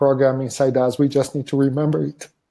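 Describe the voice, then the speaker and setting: A man with a non-native accent speaks in a dark, mellow tone at a fairly high pitch, his intonation monotone and flat. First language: not English. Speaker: wellbeing method facilitator. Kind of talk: interview conversation. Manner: halting with repetitions.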